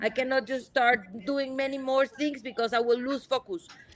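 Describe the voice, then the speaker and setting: Speaking at a moderate pace, a woman with a Spanish accent has a high pitch. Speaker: marine conservationist. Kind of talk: live Q&A interview. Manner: halting, many repeats and fillers.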